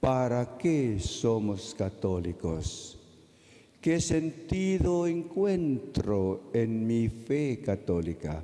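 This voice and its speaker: Against a quiet background, a man speaks at a very slow pace with very even loudness and very wide pitch swings. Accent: Filipino. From Philippines. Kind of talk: sermon. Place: church. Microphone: podium.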